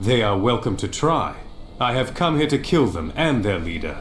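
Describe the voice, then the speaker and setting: A man puts on a character voice at a medium pitch and a moderate pace. Background noise comes through clearly. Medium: video game. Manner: confident.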